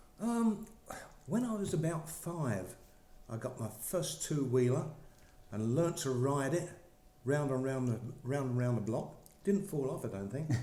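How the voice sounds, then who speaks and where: A man's fairly high voice with very wide pitch swings, a fairly slow pace, long and frequent pauses, and audible room echo. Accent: English. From England (Essex / East London). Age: 70s. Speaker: former professional cyclist. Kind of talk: interview. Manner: hesitant, many fillers.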